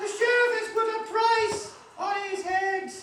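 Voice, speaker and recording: A squeaky, put-on character voice at a fairly slow pace, with monotone, flat intonation and audible echo. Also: woman, extremely high pitch for a woman. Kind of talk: pantomime dame comedy. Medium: stage play. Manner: flustered, rambling, punning.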